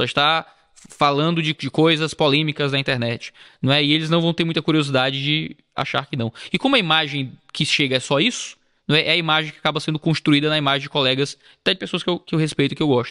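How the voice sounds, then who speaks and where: At a very fast pace, a man speaks with fairly high pitch and fairly even intonation. The sound is dry and close with no echo, on a very clean recording with a silent background. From Brazil, Ceará. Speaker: pastor and YouTuber. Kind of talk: casual chat. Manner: low-key, subdued delivery.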